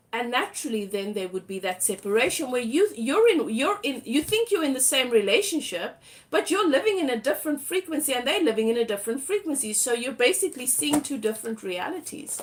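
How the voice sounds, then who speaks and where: Speaking with a South African accent, a woman talks at a fairly quick pace with hardly any pauses, high pitch and very wide pitch swings. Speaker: tarot reader. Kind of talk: live tarot reading. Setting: livestream.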